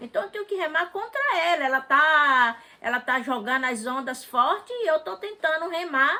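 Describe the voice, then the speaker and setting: A woman projects her raised voice at a fairly slow pace, her intonation lively. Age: 60s. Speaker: interviewee, mother of the channel owner. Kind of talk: casual chat.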